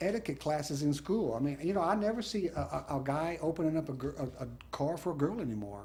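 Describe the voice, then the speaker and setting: Speaking at a fairly quick pace, a man with an American accent sounds somewhat breathy and uses lively intonation. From South Texas (Bishop, Corpus Christi). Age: 60s. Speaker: judge. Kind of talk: interview. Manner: halting, many fillers and restarts.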